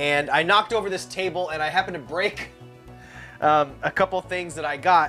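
Faint music plays in the background as a man talks at a moderate pace, his pitch high and his intonation fairly even. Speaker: collector vlogger. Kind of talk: casual vlog chat. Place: home room.

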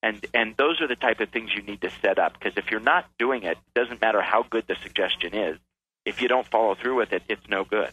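A man's normal speaking voice, medium in pitch, with an American accent, a fairly quick pace and ordinary pitch variation. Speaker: author and keynote speaker. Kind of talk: radio interview.

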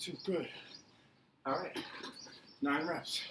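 Against noticeable background noise, a man speaks very slowly at a high pitch with ordinary pitch variation. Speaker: fitness coach. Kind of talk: workout instruction. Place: garden. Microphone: camera far.

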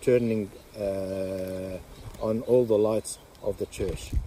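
Against noticeable background noise, a man speaks very slowly. The sound is dry, with no echo. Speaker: religious teacher. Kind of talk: religious teaching talk. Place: open country. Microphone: phone near.

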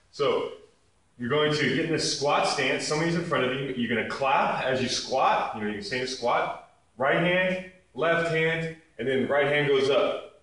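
A man's fairly high voice at a moderate pace, with ordinary pitch variation, audible room echo and a quiet background. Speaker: fitness instructor. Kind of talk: tutorial. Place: gym. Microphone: camera far.

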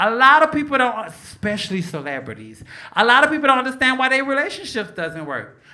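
A woman's raised, projected voice with an American accent, high-pitched and very fast, with very wide pitch swings over a quiet background. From Chicago. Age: 40s. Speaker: stand-up comedian. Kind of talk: stand-up comedy set. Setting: comedy club stage. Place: stage. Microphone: handheld.

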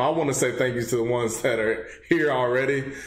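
A man speaks with a Texan accent and ordinary pitch variation. Room echo is audible. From Texas. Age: 20s. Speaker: gaming channel host. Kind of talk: casual talk to camera. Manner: upbeat. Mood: grateful, upbeat. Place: home room.

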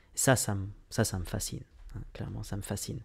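A man's dark, mellow tone at a fairly low pitch over a quiet background. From France, Lyon suburbs; France. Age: 20s. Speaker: business coach. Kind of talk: vlog monologue. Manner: halting, many fillers. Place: home room. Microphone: studio mic.

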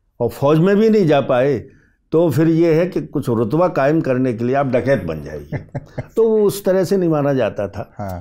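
Over a quiet background, a man's pitch swings very widely. His tone is dark and mellow, and his pace moderate. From Madhya Pradesh, India. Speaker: fiction writer. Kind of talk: interview conversation. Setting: studio. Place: studio.

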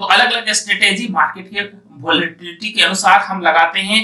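With a bright, sharp tone and a high pitch, a man talks at a fairly quick pace with ordinary pitch variation, and the room echo is audible.

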